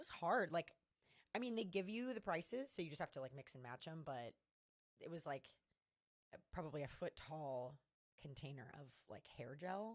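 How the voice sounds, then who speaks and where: A woman with a fairly low voice sounds animated, her pitch swinging very widely. She leaves long, frequent pauses. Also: moderate pace. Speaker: trivia host. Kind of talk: casual chat.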